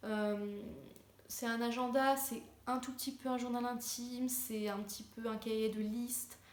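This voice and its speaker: Over noticeable background noise and audible room echo, a woman talks at a fairly high pitch and a fairly slow pace with monotone, flat intonation. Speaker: lifestyle vlogger. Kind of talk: casual tutorial. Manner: hesitant, many fillers.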